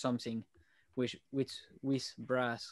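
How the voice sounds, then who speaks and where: Over a quiet background, a man talks at a fairly slow pace in a medium pitch. The sound is dry and close with no echo. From Switzerland. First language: not English. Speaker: tuba player. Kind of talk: casual chat. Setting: podcast.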